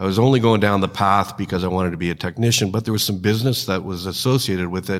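A man with a Canadian accent talks at a fairly quick pace in an ordinary speaking voice, fairly low in pitch with fairly even intonation, on a very clean recording with a silent background. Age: 60s. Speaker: trucking company executive, former mechanic. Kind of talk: interview.

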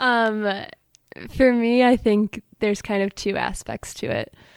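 A woman speaks at a medium pitch with a Midwestern US accent. The recording is very clean, with a silent background and a dry, close sound free of echo. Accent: US Midwest. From Michigan, Allen Park. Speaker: college student. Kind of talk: casual interview.

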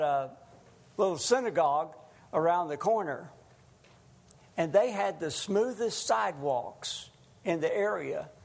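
A man's high-pitched voice with lively intonation at a fairly slow pace, in audible room echo. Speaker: lay preacher. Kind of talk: sermon. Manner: loud.

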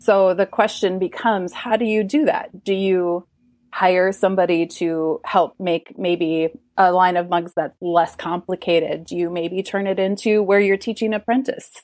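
Dry, close sound with no echo, a quiet background, a moderate pace, ordinary pitch variation, and an Upper Midwest accent. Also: woman, medium pitch for a woman. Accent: Upper Midwest American. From rural Minnesota. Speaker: artist and business coach. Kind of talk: casual interview.

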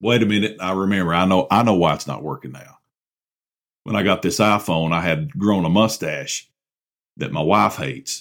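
A man's very deep, low voice with an animated tone, lively intonation and vocal fry, at a moderate pace, on a very clean recording with a silent background. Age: 40s. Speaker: podcast host. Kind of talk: comedic monologue. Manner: sarcastic.

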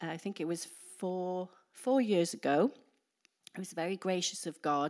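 In a Welsh accent, a woman speaks at a medium pitch and a moderate pace. Her pitch varies in an ordinary way, and the recording is very clean, with a silent background. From Wales. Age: 50s. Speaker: preacher. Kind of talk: sermon. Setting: church.

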